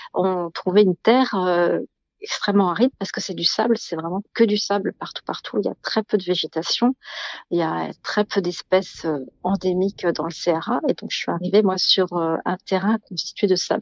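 A woman speaks at a moderate pace and medium pitch in a plain, everyday voice, with fairly even intonation. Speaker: guesthouse owner. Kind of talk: interview.

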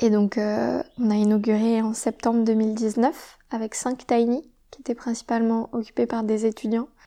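Speaking at a fairly slow pace, a woman with a fairly high pitch and a dark, mellow tone keeps a monotone, flat intonation while her loudness swings widely. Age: 20s. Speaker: environmental engineer and entrepreneur. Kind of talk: interview. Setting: on location at a shared living site.

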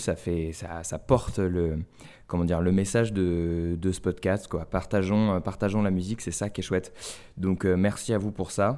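On a very clean recording with a silent background, a man talks at a fairly slow pace in a very deep, low voice with a dark, mellow tone and fairly even intonation. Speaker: podcast host. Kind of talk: casual chat.

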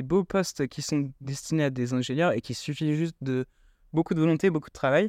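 Here a man speaks in a normal speaking voice with a fairly high pitch. The sound is dry and close with no echo, and the background is quiet. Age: 20s. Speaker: student startup founder. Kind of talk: interview.

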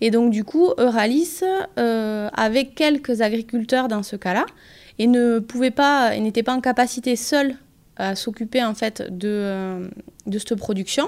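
A woman with a fairly high voice speaks at a fairly slow pace with ordinary pitch variation, on a very clean recording with a silent background. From southwest France (Pyrénées-Atlantiques). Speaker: organic farming advisor. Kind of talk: interview. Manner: hesitant, many fillers.

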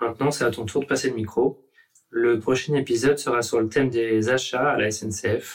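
Somewhat breathy male voice with fairly even intonation. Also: medium pitch for a man, moderate pace. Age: 30s. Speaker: railway signalman. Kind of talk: workplace podcast interview. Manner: halting, repeats words.

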